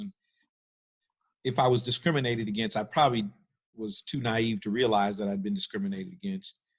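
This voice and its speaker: A man at a medium pitch, with ordinary pitch variation and an ordinary speaking voice. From US Midwest, Cleveland, Ohio. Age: 60s. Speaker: pastor. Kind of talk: panel discussion.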